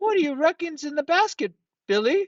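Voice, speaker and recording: Squeaky and extremely high in pitch, a man performs a put-on character voice. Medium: read story. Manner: snickering, echoing.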